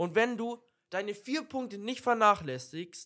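The recording is very clean, with a silent background. A man with a bright, sharp tone speaks with very wide pitch swings. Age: young. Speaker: podcast co-host. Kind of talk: casual chat. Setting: video podcast recording.

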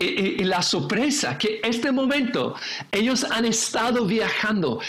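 With noticeable background noise and audible room echo, a man with a high pitch speaks at a very slow pace. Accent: English. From England, raised in Indonesia and the Philippines. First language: English (speaking Spanish). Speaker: pastor and seminary teacher. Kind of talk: casual chat about scripture. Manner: halting, many fillers and repetitions.

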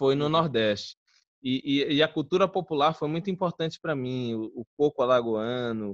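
This man has an ordinary speaking voice, medium in pitch, with ordinary pitch variation and a moderate pace. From Alagoas, northeastern Brazil (born Guarulhos, São Paulo). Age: 20s. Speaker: filmmaker. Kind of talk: casual interview chat. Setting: online live stream.

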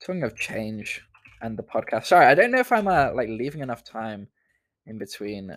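A man talks, and the recording is very clean with a silent background. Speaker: student podcast host. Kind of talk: solo casual chat. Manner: distracted, rambling with fillers.

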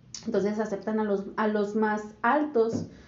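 The room echo is audible. A woman speaks at a fairly high pitch. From Monterrey, northern Mexico. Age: 20s. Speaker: podcast co-host, administration graduate. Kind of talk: casual chat.

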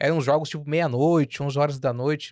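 A man talks at a moderate pace in an unremarkable speaking voice, fairly high in pitch with fairly even intonation. The sound is dry and close with no echo, on a very clean recording with a silent background. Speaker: podcast host, journalist. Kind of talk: casual interview chat.

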